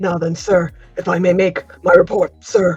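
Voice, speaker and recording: A put-on character voice, raspy and at middle pitch, moves at a moderate pace with faint music in the background. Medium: actual play. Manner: deferential, polite.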